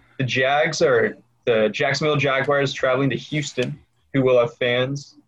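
A man speaks at a moderate pace in a medium-pitched, somewhat breathy voice. His intonation stays fairly even. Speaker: podcast host. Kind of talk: casual chat.

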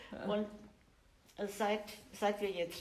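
A woman speaks at a very slow pace, with audible room echo around her. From Germany. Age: 60s. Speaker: churchgoing grandmother. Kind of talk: interview.

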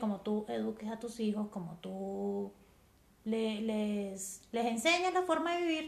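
In an Andean Venezuelan accent, a woman speaks at a fairly slow pace. Her pitch makes very wide swings. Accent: Andean Venezuelan (gocho). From Venezuelan Andes (San Cristóbal, Táchira). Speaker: mother, podcast guest. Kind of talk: casual chat. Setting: in-person recording with host.

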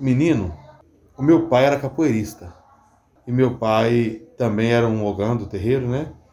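The speech moves at a fairly slow pace with lively intonation, over noticeable background noise. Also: man. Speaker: capoeira teacher. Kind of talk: interview.

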